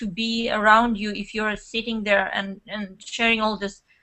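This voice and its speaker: A woman speaks with a Russian accent. Her pitch is fairly high. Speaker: network marketer and blogger. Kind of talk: interview. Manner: animated.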